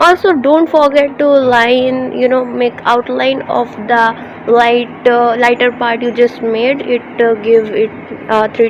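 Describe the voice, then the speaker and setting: The speech moves at a very slow pace with fairly even intonation. Noticeable background noise is present. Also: woman. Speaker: digital artist. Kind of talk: tutorial. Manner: halting, many fillers.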